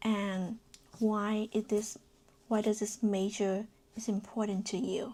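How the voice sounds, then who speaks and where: The speaker has a non-native accent and talks at a very slow pace, with long, frequent pauses. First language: not English. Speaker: fashion design student vlogger. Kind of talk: casual vlog tutorial. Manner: hesitant, many fillers.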